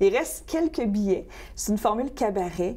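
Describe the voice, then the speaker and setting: Dark, mellow tone from a female speaker, delivered at a fairly quick pace. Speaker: country singer-songwriter. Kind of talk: interview.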